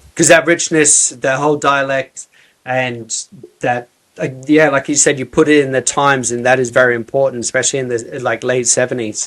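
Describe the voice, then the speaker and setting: A man speaks at a medium pitch. It is a plain, everyday voice. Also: fairly quick pace. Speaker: podcast host. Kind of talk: casual podcast interview talk.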